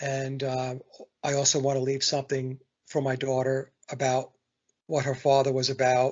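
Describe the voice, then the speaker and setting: This man's voice is somewhat breathy, with a monotone, flat intonation. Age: 60s. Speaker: musician and songwriter. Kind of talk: casual chat. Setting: podcast interview.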